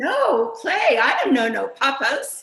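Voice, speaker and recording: A woman puts on a squeaky character voice at an extremely high pitch, with very wide pitch swings, a fairly slow pace and a slight echo. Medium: stage play. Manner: garbled, jumbled words.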